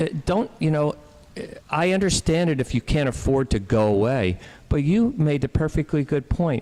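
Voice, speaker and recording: A man with an American accent speaks at a moderate pace in a fairly high pitch, his loudness very even. His pitch swings very widely, and the sound is dry and close with no echo. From New Jersey. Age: 60s. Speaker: doctor. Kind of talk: radio talk show discussion. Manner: halting, many false starts.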